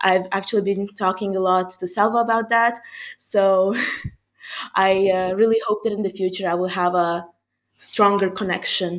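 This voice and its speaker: With a Hungarian accent, a woman speaks at a moderate pace in monotone, flat intonation, leaving long, frequent pauses. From Hungary. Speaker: university student. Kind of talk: casual interview chat.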